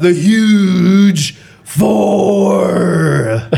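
In a put-on character voice, a man speaks at a high pitch. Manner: macho.

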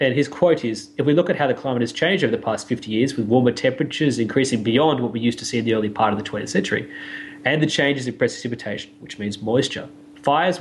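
A man with an Australian accent, medium pitch, somewhat breathy, ordinary pitch variation and a very fast pace. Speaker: science podcast co-host. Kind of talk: explanatory casual chat.

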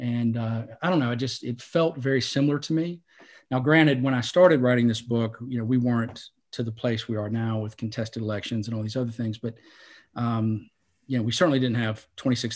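In a very clean recording with a silent background, a man with an American accent speaks fairly quickly at a medium pitch, his intonation fairly even and his speaking voice unremarkable. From North Carolina, Salisbury. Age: 50s. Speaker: novelist. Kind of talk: interview.

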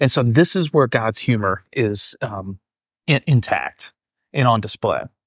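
A man with an American accent speaks at medium pitch and a fairly slow pace, his intonation lively. The recording is very clean and silent behind him, with a dry, close sound and no echo. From Iowa (Keokuk, Mississippi River). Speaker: pastor. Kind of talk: casual interview. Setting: convention center lobby, live in person.

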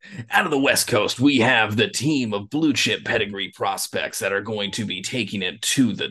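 In a booming put-on character voice, a man at a medium pitch speaks with hardly any pauses. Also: moderate pace. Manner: booming, promotional.

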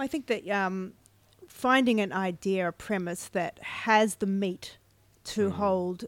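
In a very clean recording with a silent background, a woman speaks in a plain, everyday voice at a medium pitch with ordinary pitch variation. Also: fairly slow pace. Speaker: author. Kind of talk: casual chat. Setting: bookstore with live audience.

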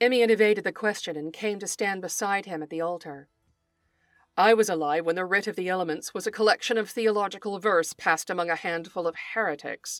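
Music plays in the background while a woman speaks at a medium pitch. The sound is dry and close, with no echo. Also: ordinary pitch variation, fairly quick pace. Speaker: podcast host and writer. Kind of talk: dramatic narration, reading fiction aloud; scripted podcast intro and outro.

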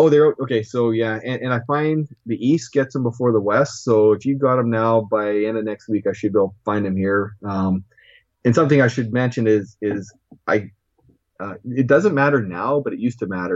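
A man with a Canadian accent talks at a moderate pace and medium pitch, with ordinary pitch variation and a plain, everyday voice. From Saskatchewan, Canada. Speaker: toy collector. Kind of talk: interview.

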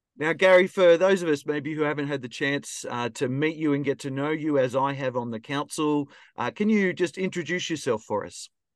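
Here a man with an Australian accent speaks fairly quickly, with hardly any pauses. His voice is fairly high, with ordinary pitch variation over a quiet background. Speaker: podcast host. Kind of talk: interview conversation.

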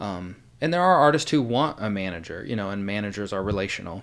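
A man with an American accent and a normal speaking voice talks fairly quickly at a fairly low pitch. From Indiana. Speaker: artist management associate. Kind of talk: casual interview.

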